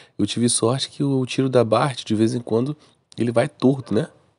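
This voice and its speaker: In a Brazilian accent, a man speaks fairly quickly in a dark, mellow tone, with a dry, close sound with no echo against a quiet background. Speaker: gaming YouTuber. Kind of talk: gameplay commentary. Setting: recorded voice-over narrated after the match. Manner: casual, slangy.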